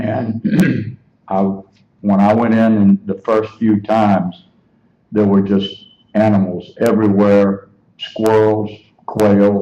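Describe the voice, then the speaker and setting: A man speaks very slowly in a fairly low, dark, mellow voice, leaving long, frequent pauses. His intonation is monotone and flat, his loudness very even. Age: 70s. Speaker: hunter. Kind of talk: public comment. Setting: public meeting. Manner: halting.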